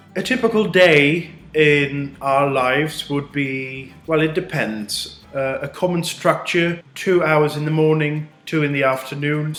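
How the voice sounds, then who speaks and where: At a fairly slow pace, a man speaks at a fairly high pitch with ordinary pitch variation over noticeable background noise. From Netherlands. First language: Dutch. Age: 20s. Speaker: postgraduate student. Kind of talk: student testimonial.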